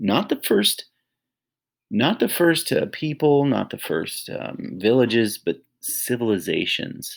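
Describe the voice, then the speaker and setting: Over a very clean recording with a silent background, a man speaks at a fairly slow pace. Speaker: history teacher. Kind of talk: lecture. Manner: monotone; hesitant, many fillers.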